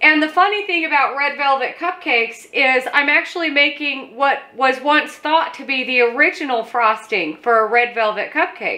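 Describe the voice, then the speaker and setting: At a moderate pace, a woman uses a raised, projected voice with a bright, sharp tone. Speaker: home cooking host. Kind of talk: tutorial. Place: kitchen.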